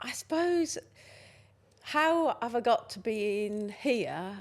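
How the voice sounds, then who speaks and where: On a very clean recording with a silent background, a woman with a Lancashire accent speaks at a very slow pace. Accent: Northern English (Lancashire). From Lancashire, England. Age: 60s. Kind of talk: podcast interview answer.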